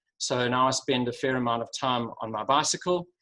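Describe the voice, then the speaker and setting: A man with a Durban accent talks at medium pitch in a bright, sharp tone. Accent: South African (Durban). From South Africa, Durban. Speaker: sustainability executive. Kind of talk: webinar presentation. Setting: video call.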